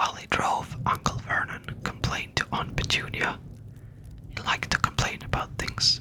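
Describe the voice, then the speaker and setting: The voice is a whisper at a fairly slow pace. Background noise comes through noticeably. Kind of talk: whispered audiobook reading. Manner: whispered.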